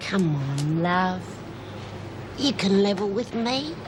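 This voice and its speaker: Over loud background noise, a woman uses a put-on character voice at a medium pitch and a very slow pace. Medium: short film. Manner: warm, motherly.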